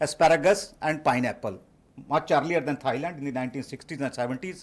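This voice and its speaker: A man speaks loudly with lively intonation on a very clean recording with a silent background. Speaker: professor and conference speaker. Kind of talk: conference talk. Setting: conference stage.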